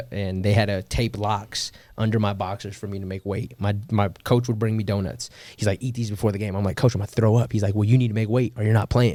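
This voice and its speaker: Fairly low in pitch, a man speaks with a dark, mellow tone and fairly even intonation. The recording is very clean with a silent background. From US West Coast, Seaside, California. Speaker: former professional football player. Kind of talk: podcast interview. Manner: casual, many fillers.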